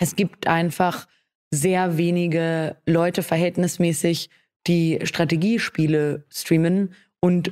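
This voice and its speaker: On a very clean recording with a silent background, a woman speaks in a fairly low, monotone voice with flat intonation. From Austria. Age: 20s. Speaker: streamer. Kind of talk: interview.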